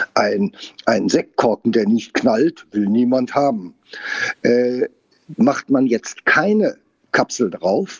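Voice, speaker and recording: A man's medium-pitched voice at a very slow pace, with very wide pitch swings. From Saar region, Germany. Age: 60s. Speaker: winemaker. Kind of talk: casual interview. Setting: on location at winery.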